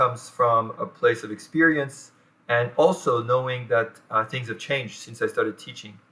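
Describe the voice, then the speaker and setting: A man with a French accent speaks at a medium pitch and a moderate pace, his tone bright and sharp. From France. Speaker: professor. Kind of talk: lecture. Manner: halting, many fillers.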